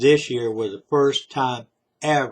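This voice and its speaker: A man speaks with a Southern US accent at a fairly slow pace. His intonation stays fairly even against a quiet background. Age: 60s. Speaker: vlogger. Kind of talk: political monologue. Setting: self-recorded video.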